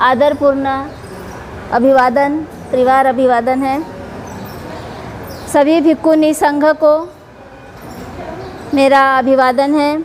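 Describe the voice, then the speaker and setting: A woman speaks at a high pitch in a flat monotone, pausing long and often, with audible room echo and noticeable background noise. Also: very even loudness. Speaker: Buddhist nun. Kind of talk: dharma talk. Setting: Buddhist temple gathering. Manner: formal.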